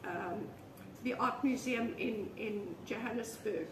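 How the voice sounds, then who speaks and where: Noticeable background noise sits behind a woman speaking at a very slow pace. Her pitch is fairly high. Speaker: artist. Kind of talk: casual interview chat. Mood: relaxed reminiscing chat. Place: home room. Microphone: camera far.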